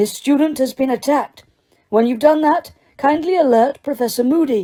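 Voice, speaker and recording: A woman puts on a character voice. It sits at a high pitch and moves at a moderate pace. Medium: read story. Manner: calm, brisk.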